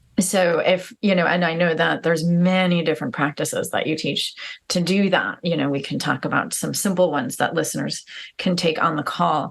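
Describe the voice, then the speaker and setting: A woman's voice sits fairly low in pitch. Vocal fry runs through her speech. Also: fairly quick pace. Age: 40s. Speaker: podcast host. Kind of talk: interview. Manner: halting, many fillers.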